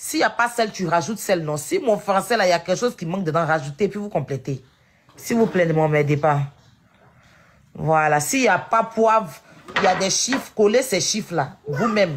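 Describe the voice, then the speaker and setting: The speaker moves at a moderate pace, broken up by long, frequent pauses. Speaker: live stream host. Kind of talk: casual live-stream discussion.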